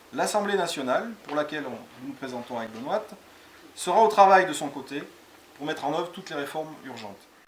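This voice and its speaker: A man's fairly high voice at a fairly quick pace, with lively intonation, big swings in loudness and noticeable background noise. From France, Cantal (Aurillac). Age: 40s. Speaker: parliamentary candidate. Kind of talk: campaign presentation.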